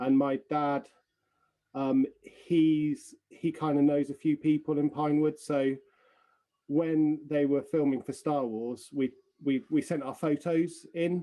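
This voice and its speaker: A man's fairly high-pitched voice, dark and mellow in tone, very slow and flat in a monotone, with an English accent. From England. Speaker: film extra and artist. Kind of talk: interview. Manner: halting, many fillers and repeats.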